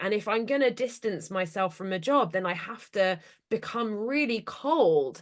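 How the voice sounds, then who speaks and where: A woman's fairly high voice at a fairly slow pace, lively intonation, and a quiet background. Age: 30s. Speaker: business consultant and speaker on ADHD. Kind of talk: interview conversation. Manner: direct, sounds aggressive to others.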